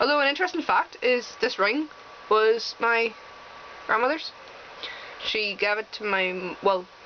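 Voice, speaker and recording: With an American accent, a woman speaks at a fairly high pitch with lively intonation and long, frequent pauses, over noticeable background noise. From Northern Ireland. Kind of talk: casual talk to camera.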